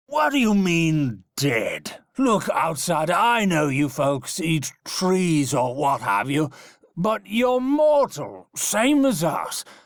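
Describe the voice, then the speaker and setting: In a put-on character voice, a man drawls out his words very slowly, pitched high and swinging very widely up and down. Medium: solo performance. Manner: brusque.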